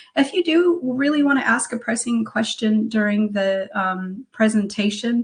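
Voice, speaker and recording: A woman with an American accent talks at a fairly slow pace and a fairly high pitch. She has an unremarkable speaking voice, with ordinary pitch variation. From United States. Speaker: career coach. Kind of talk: webinar presentation.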